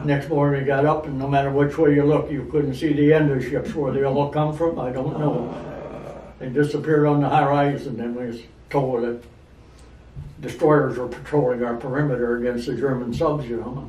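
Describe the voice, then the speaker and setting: Over noticeable background noise, a man with a fairly high voice speaks at a fairly quick pace with fairly even intonation. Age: 80s+. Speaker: war veteran. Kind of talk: interview answer.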